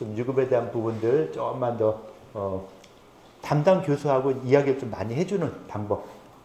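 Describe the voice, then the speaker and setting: Amid audible room echo, a man at a medium pitch speaks with lively intonation. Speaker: professor. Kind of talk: lecture. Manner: fast.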